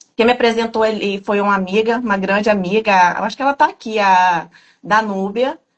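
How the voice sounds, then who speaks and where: At a fairly quick pace, a woman with an ordinary speaking voice talks in a fairly high pitch with ordinary pitch variation. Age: 30s. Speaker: program participant giving testimony. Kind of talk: testimony. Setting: video call.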